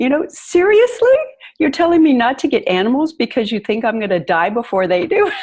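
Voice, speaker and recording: Her voice is high-pitched and moves through very wide pitch swings. The woman talks at a fairly quick pace. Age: 60s. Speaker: empowerment coach and tango teacher. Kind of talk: podcast interview.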